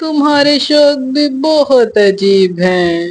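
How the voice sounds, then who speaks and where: A woman performs a put-on character voice. Her pitch is high and swings very widely. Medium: read story. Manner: gentle, affectionate.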